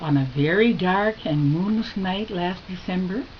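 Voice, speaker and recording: A woman at a medium pitch and moderate pace, over noticeable background noise. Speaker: grandmother storyteller. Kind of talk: spooky Halloween story told to children.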